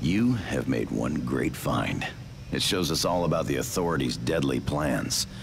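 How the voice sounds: A man's put-on character voice, extremely low in pitch, fairly slow, with lively intonation and vocal fry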